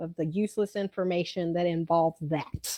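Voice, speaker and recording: At a moderate pace and medium pitch, a woman talks in a strong Southern US accent, her sound dry and close with no echo. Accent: thick southern. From South Georgia, US South. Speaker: theme park character attendant. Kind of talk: casual chat.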